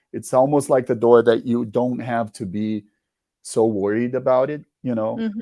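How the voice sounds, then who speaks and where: With a Portuguese accent, a man speaks at a moderate pace in a dark, mellow tone, his medium pitch held to a fairly even intonation. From Brazil. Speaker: musician. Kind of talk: interview. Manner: halting.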